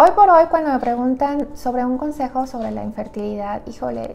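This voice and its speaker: Her voice is high, with ordinary pitch variation. Light background noise sits behind this woman. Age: 30s. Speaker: nutritionist. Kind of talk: personal story vlog. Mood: reflective personal story. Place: home room. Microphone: lapel.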